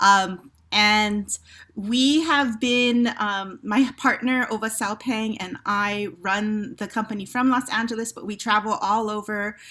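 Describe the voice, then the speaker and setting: A woman with a Hawaiian accent speaks at a fairly high pitch in a bright, sharp tone with fairly even intonation. Her pace is very slow with hardly any pauses, on a very clean recording with a silent background. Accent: Hawaii English. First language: Hawaiian Pidgin. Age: 50s. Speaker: theater company director. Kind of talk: panel discussion. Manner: hesitant, many fillers.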